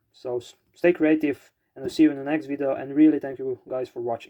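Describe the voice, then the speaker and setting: With a non-native accent, a man speaks at a fairly high pitch in a dark, mellow tone with fairly even intonation, the sound dry and close with no echo. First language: not English. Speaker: DIY electronics hobbyist YouTuber. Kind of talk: project explanation video. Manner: halting, many fillers.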